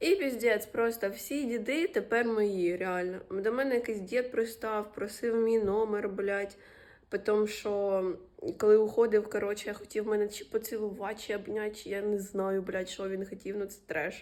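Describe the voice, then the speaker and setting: Here a woman talks at a moderate pace. Her fairly high voice keeps a fairly even intonation. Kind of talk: casual vlog talk to camera. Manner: casual, profane.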